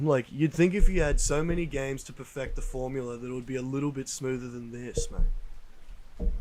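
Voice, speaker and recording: A man's medium-pitched voice with an Australian accent, at a fairly quick pace with hardly any pauses, fairly even intonation and big swings in loudness. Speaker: podcast co-host. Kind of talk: casual chat. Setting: outdoors on a deck at night.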